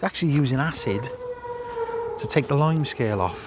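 A man talks at a moderate speed, with a little noise in the background. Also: dry sound with no echo. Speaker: family vlogger. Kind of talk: casual vlog chat. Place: street. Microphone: phone near.

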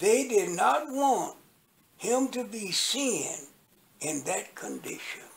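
This man speaks at an extremely high pitch. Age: 80s+. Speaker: former Nation of Islam minister. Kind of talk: interview answer. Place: home room. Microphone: phone near.

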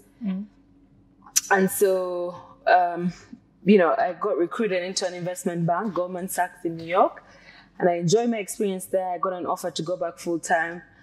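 With faint music in the background, a woman speaks at a moderate pace in a medium-pitched, monotone, flat voice, leaving long, frequent pauses. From Uganda. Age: young. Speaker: investment banker; guest. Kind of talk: interview. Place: car. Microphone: lapel.

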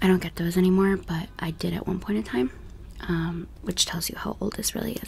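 A soft-spoken woman talks at a fairly quick pace over light background noise. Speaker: beauty content creator. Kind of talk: casual vlog chat. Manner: soft-spoken, hushed close-mic voice. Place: home room. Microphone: studio mic.

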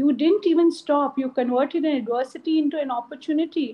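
A woman with an Indian accent, fairly even intonation and a fairly quick pace. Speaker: school principal. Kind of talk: ceremonial address. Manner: warm, encouraging. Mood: warm, encouraging. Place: office. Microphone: video call.

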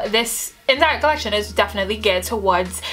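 Faint music plays in the background as a woman speaks in an upbeat tone. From Trinidad and Tobago. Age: 20s. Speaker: beauty and hair vlogger. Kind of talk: casual talk to camera. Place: home room.

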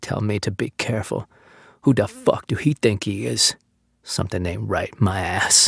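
At a moderate pace and a fairly low pitch, a man mumbles in a put-on character voice, recorded very clean with a silent background and a dry, close sound with no echo. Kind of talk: vulgar, irritated. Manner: mumbling to himself.

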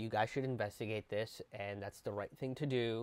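A man speaks, and the sound is dry with no echo. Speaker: comedian commentator. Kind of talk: casual commentary. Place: home room. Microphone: earbuds.

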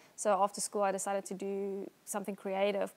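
A woman at a fairly quick pace. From South Africa, Somerset West (Western Cape). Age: 30s. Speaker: wedding photographer and blogger. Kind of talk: interview. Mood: relaxed, friendly. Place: home room. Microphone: lapel.

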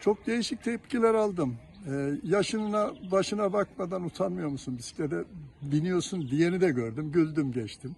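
A man talks at a moderate pace with a high pitch. His pitch swings very widely. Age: 70s. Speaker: cyclist. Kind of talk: street interview. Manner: halting.

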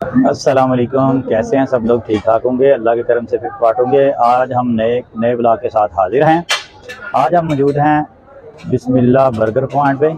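A man speaks at a moderate pace with very even loudness and fairly even intonation. The sound is dry with no echo, and there is light background noise. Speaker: food vlogger. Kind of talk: casual vlog chat. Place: street. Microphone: phone near.

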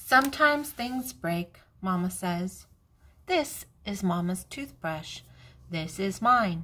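An unforced reading voice full of lively intonation

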